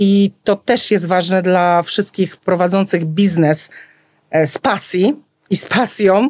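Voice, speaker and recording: Delivered at a very slow pace, the voice shows ordinary pitch variation and a dry, close sound with no echo. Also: woman, medium pitch for a woman. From rural Poland. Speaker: florist. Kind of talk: casual interview. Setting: studio.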